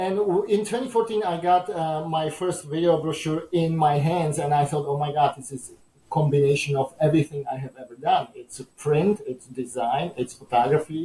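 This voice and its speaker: This man talks with a Czech accent at a moderate pace, with hardly any pauses and big swings in loudness. His pitch is fairly high and its variation ordinary. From Czechoslovakia. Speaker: entrepreneur. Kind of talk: interview. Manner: halting with many fillers.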